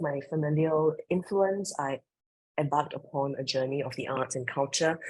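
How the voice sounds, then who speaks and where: Her voice very deep and low, a woman speaks with ordinary pitch variation. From Singapore. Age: 40s. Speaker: creative director and professor. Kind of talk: interview.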